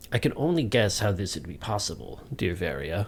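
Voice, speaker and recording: Over clear background noise, a man does a strained, put-on character voice at a fairly low pitch, moving at a fairly quick pace with very wide pitch swings. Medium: read story.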